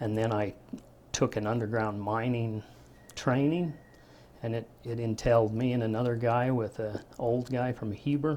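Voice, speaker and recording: In a rural western American accent, a man speaks at a medium pitch and moderate pace, his tone dark and mellow and his intonation fairly even. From Utah, Park City. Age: 50s. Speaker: retired miner. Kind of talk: oral history interview. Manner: plain-spoken, halting with fillers.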